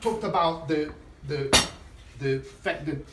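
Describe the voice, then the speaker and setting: A man speaks with an Italian accent. His pitch is fairly high. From Italy. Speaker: chef. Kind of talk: cooking masterclass talk. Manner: casual, hesitant.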